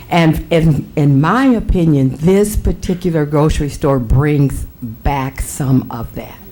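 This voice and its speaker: A woman with an American accent speaks at a fairly slow pace in a very deep, low pitch, using ordinary pitch variation over noticeable background noise. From US Midwest, Waterloo, Iowa. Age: 70s. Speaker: pastor. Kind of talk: public comment at council meeting. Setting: city council chamber.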